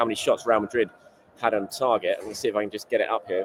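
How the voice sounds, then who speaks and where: A man talks very fast with an English accent. Noticeable background noise runs underneath. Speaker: football journalist. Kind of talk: vlog commentary.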